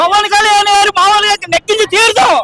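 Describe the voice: Fast and bright with a sharp tone, the voice shows little pitch movement in a dry, close recording with no echo. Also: man, extremely high pitch for a man.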